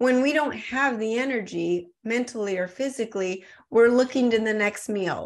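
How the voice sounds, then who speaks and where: Over a quiet background, a woman with an American accent speaks at a fairly slow pace with lively intonation. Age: 40s. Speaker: supplement company founder. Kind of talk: podcast interview.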